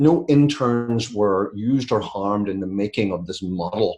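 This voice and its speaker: Over a quiet background, a man's voice comes through somewhat breathy. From UK. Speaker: business author and consultant. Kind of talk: webinar presentation. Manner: conversational, with fillers.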